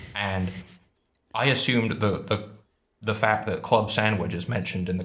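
Speaking with an English accent, a man uses a fairly low pitch and fairly even intonation, his voice somewhat breathy. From England. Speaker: YouTuber, conlang creator. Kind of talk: casual chat, pub quiz.

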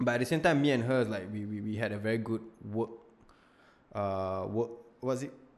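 Speaking with a Singaporean accent, a man talks at a fairly quick pace in a medium pitch with ordinary pitch variation and long, frequent pauses. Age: 20s. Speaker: content creator. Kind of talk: casual chat. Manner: loud. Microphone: new Audio-Technica mic.

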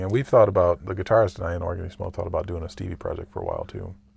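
A man with an American accent and a very deep, low pitch, somewhat breathy and very fast, on a very clean recording with a silent background. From Michigan, US Midwest. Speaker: jazz organist. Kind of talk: casual interview chat.

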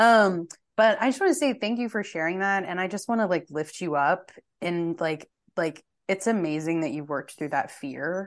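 A woman with an American accent uses a plain, everyday voice at medium pitch, talking at a moderate pace with lively intonation. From Texas. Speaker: podcast guest. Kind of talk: casual chat.

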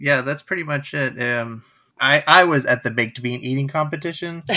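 A man with a fairly high pitch, a bright, sharp tone and ordinary pitch variation, in a very clean recording with a silent background. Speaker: fan club president, guest co-host. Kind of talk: casual chat.

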